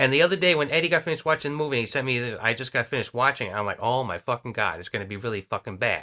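Speaking at a very fast pace with hardly any pauses, a man with an American accent has a bright, sharp tone. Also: medium pitch for a man. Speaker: podcast co-host. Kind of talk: casual chat.

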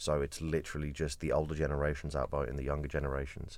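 On a very clean recording with a silent background, a man races along at a very fast pace, his very deep, low pitch marked by vocal fry. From Kent, England. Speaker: podcast co-host. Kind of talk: casual banter chat. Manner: jokey, animated.

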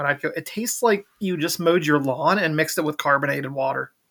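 Rattling along at a very fast pace, a man with an American accent speaks at a fairly high pitch with ordinary pitch variation. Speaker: podcast co-host. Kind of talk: casual chat. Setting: remote audio call.

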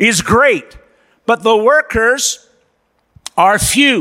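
A man speaks in a raised, projected voice with a bright, sharp tone, an extremely high pitch and lively intonation. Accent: American. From USA. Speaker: missionary pastor. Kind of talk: sermon. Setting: church.

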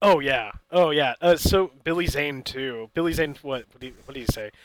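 At a moderate pace, a man talks in an unremarkable speaking voice, fairly high in pitch. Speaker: podcast co-host and amateur film reviewer. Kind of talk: casual chat.

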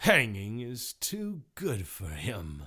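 A man uses a put-on character voice, growling at a fairly low pitch. The recording is very clean, with a silent background. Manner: snarling, vicious.

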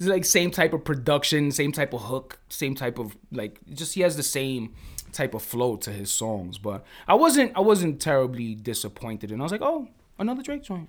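In a very clean recording over a silent background, a man with a fairly high pitch speaks at a moderate pace with very wide pitch swings. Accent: New York. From New York City (Bronx). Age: 40s. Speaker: podcast co-host, music producer. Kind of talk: casual chat.

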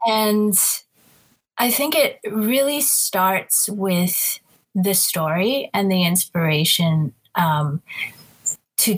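A woman talks in a somewhat breathy voice. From Southeast Asia. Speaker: singer-songwriter. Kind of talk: casual interview.

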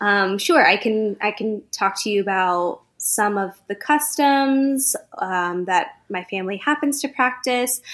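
Using an American accent, a woman speaks with hardly any pauses. Her fairly high voice has lively intonation. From US, Central California. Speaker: actor, podcast guest. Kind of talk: casual chat about a book.

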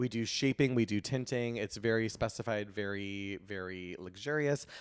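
A man with an unremarkable speaking voice talks at a fairly quick pace, his medium pitch rising and falling in an ordinary way. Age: 30s. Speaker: eyebrow specialist and beauty entrepreneur. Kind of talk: casual chat.

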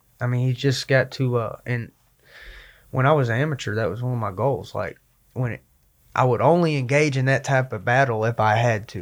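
Here a man has a normal speaking voice with a medium pitch and ordinary pitch variation. He talks at a fairly quick pace on a very clean recording with a silent background. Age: 20s. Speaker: MMA fighter. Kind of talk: casual chat.

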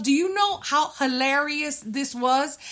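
A woman uses a raised, projected voice. Her pitch variation is ordinary. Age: 50s. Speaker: podcast co-host. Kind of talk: casual chat.

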